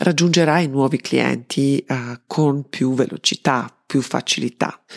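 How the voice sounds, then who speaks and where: Very slowly, a woman talks in a very deep, low pitch with ordinary pitch variation, the sound dry and close with no echo. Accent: Serbian. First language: Serbian (speaking Italian). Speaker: marketing consultant and podcast host. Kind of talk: solo podcast monologue.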